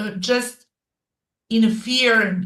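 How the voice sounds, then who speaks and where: Audible room echo surrounds this recording. A woman speaks with a non-native accent. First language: not English. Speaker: digital marketing coach and podcaster. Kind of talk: interview. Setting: live stream. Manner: halting.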